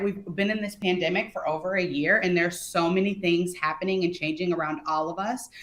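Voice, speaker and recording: At a fairly quick pace, the speaker has an ordinary speaking voice. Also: woman. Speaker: customer experience speaker. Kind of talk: webinar presentation.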